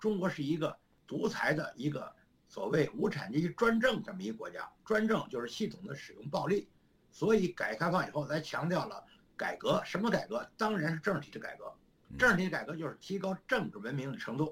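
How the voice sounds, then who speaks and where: The speech moves at a fairly quick pace, with lively intonation and big swings in loudness. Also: man, high pitch for a man. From China. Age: 70s. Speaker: retired professor. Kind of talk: interview conversation.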